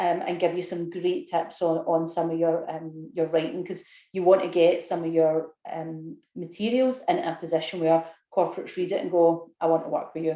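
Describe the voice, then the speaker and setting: With a Scottish accent, the speaker talks at a fairly quick pace. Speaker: business consultant and course leader. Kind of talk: webinar sales pitch. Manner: casual, with fillers.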